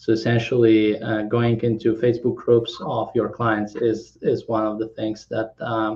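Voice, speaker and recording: Somewhat breathy and monotone, a man speaks at a fairly slow pace and medium pitch. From Kazakhstan, then Poland. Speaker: tech startup founder. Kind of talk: interview. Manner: halting, many fillers.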